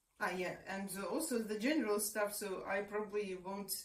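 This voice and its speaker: Audible room echo surrounds a woman speaking with a Russian accent. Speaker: researcher and activist. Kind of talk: interview. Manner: hesitant, many fillers.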